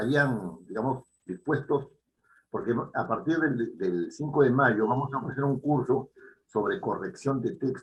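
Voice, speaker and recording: Somewhat breathy and at a medium pitch, a man talks at a fairly slow pace with ordinary pitch variation. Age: 70s. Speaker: writing teacher. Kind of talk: lecture. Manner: halting.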